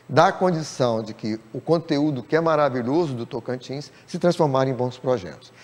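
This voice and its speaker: A man with an ordinary speaking voice and lively intonation. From Rio Grande do Norte, Brazil. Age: 60s. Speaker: writer and playwright. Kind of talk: TV interview.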